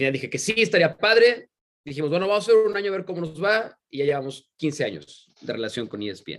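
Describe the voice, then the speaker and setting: A man's high voice swings very widely in pitch as he talks at a fairly quick pace. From Mexico, San Luis Potosí. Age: 30s. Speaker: sports commentator. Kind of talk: interview conversation.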